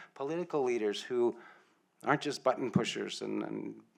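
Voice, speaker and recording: A man with a Canadian accent speaks at a fairly quick pace and medium pitch, with ordinary pitch variation, in an unremarkable speaking voice over a quiet background. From Ontario, Canada (First Nations reserve). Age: 60s. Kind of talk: land acknowledgement welcome speech.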